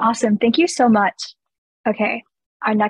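A woman's somewhat breathy, fairly high voice at a moderate pace, dry with no echo, over a quiet background. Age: young. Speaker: student moderator. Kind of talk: moderated Q&A. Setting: video call. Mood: friendly, upbeat. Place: home room. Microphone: video call.

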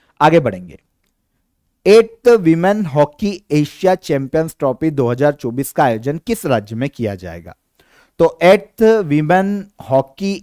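The tone is dark and mellow, with very wide pitch swings. Delivered at a very slow pace, it has a dry, close sound with no echo. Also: man. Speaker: current affairs educator. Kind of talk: exam-prep lecture.

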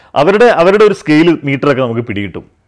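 Over a quiet background, a man's voice moves in very wide pitch swings. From Malabar, northern Kerala; Kerala. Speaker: film director; interviewee. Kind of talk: interview. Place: home room.

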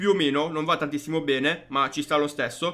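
Faint music plays in the background as a man speaks at a moderate pace with lively intonation. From Foggia, Apulia, Italy. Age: 20s. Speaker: gaming YouTuber. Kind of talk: gameplay commentary. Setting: home studio microphone. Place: home room.

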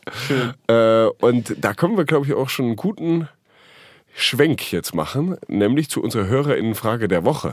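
The speaker talks at a moderate pace. Their pitch swings very widely. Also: man, medium pitch for a man. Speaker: podcast co-host. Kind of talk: casual chat. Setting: studio.

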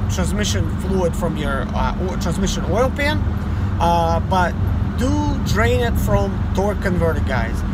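A man talks at a very slow pace. The sound is dry with no echo, but there is loud background noise. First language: Russian. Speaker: mobile mechanic and YouTuber. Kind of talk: tutorial. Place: car. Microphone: phone near.

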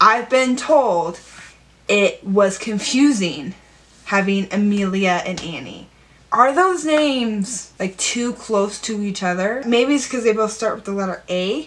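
A woman with a fairly high pitch and a fairly slow pace, noticeable noise in the background. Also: lively intonation. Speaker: writer. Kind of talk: casual talk to camera.

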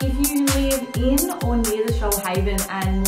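A woman's voice has audible room echo. Faint music sits in the background. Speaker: travel vlogger. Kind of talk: casual vlog chat. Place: home room.

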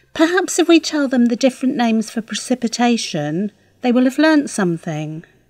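Speaking in a British accent, a woman uses a high pitch with very wide pitch swings. Her voice sounds dry and close, with no echo. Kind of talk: scripted dialogue for English learners.

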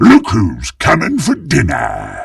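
Putting on a character voice, a man speaks slowly at a fairly low pitch with a slightly husky edge, vocal fry and very wide pitch swings.

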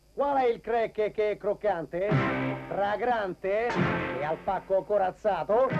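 Over music in the background, a man talks at a high pitch and very slow pace, his loudness very even and his pitch varying in an ordinary way. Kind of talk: TV commercial acting.

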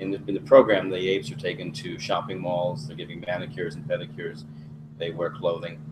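Over noticeable background noise, a man talks at a fairly quick pace in a very deep, low voice. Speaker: webcast moderator. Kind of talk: moderated webcast interview. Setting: video webcast. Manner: formal. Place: studio.

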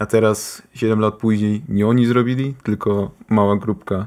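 On a very clean recording with a silent background, a man speaks fairly slowly at a fairly low pitch in a monotone, flat way. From Austria, Polish-speaking family. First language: bilingual Polish and German, sometimes forgets Polish words (speaking Polish). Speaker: gaming YouTuber. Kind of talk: casual chat.

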